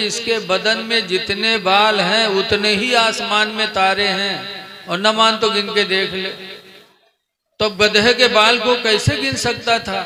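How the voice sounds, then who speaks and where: A man speaks in a raised, projected voice at a high pitch. Music plays in the background. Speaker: Islamic preacher. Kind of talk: humorous religious sermon on stage. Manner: joking storytelling.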